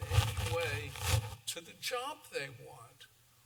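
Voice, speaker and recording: A man speaks very slowly while noticeable noise carries on in the background. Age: 80s+. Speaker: civil rights lawyer. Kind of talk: lecture.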